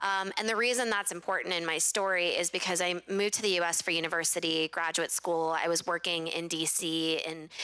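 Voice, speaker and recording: In an American accent, a woman speaks at a fairly quick pace with hardly any pauses, a bright, sharp tone and fairly even intonation. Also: fairly low pitch for a woman, very even loudness. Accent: very American. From international schools overseas, Pakistani-Bangladeshi family. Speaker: social entrepreneur. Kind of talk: panel discussion. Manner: many fillers (um, uh).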